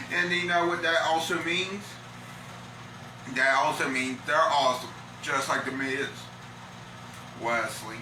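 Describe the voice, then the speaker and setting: Amid noticeable background noise and audible room echo, a man with a fairly high pitch speaks at a fairly slow pace with lively intonation and long, frequent pauses. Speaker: livestream vlogger. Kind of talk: casual chat reading news article. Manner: halting.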